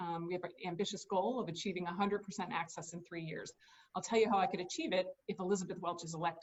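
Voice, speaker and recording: Words rush out at a very fast pace in a somewhat breathy voice with monotone, flat intonation. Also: woman, medium pitch for a woman. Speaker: state supreme court justice. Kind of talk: campaign speech.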